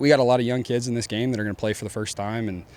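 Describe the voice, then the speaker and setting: Fairly even intonation with a Texan accent. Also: man. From Deep East Texas. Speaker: college football coach. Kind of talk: press conference. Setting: press conference with media. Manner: casual, many fillers.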